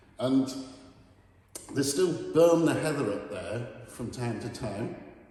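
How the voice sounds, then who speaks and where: A man speaks at a fairly slow pace with ordinary pitch variation, his voice carrying audible room echo over noticeable background noise. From northern England, Saltburn, North Yorkshire. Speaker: artist. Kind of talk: gallery talk about own artwork. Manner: hesitant, with fillers and repeats.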